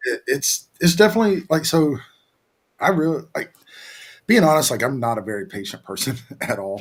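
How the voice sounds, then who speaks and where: A man's fairly high voice with a Southern accent, fairly quick pace, very wide pitch swings, and long, frequent pauses. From US South, Virginia. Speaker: business owner, oven maker. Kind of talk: casual chat. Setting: studio. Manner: halting, repeats words.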